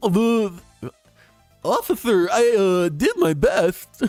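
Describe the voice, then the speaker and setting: Faint music plays in the background as a man uses a put-on character voice. He speaks at a very slow pace in a high pitch. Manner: uh, hesitant, apologetic.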